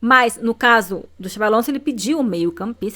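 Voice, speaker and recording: This woman has a bright, sharp tone and a medium pitch, and she talks at a fairly quick pace. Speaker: football YouTuber. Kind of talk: casual commentary video. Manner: fast.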